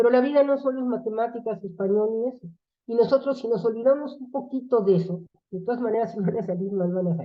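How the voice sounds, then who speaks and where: A woman's fairly high voice at a very fast pace, with big swings in loudness. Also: ordinary pitch variation. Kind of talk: lecture.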